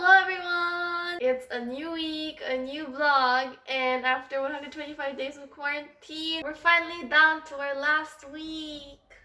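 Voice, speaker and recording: A woman with a high pitch speaks in a raised, projected voice with hardly any pauses and fairly even intonation. Her loudness swings widely, and music plays in the background. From Philippines. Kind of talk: casual vlog talk to camera.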